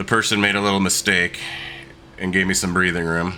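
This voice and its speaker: Noticeable background noise surrounds a man who talks at a fairly quick pace. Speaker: sim racer. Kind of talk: live gameplay commentary. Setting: home desk setup. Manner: casual.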